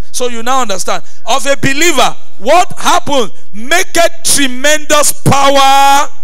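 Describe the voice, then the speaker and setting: Against a quiet background, a man with an extremely high pitch uses a raised, projected voice, speaking fairly slowly with ordinary pitch variation. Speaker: pastor. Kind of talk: sermon. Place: church. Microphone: handheld.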